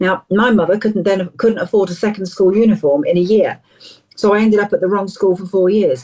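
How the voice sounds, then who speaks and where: At a very fast pace, a woman with an English accent talks in a dark, mellow tone at a medium pitch with ordinary pitch variation. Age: 60s. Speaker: counsellor and charity founder. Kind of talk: interview. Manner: animated.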